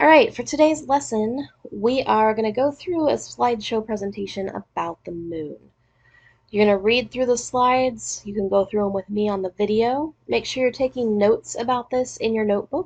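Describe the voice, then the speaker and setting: Over a quiet background, a woman talks in an unremarkable speaking voice, fairly high in pitch, at a moderate pace with ordinary pitch variation. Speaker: teacher. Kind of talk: recorded lesson. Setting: recorded lesson video. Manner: casual.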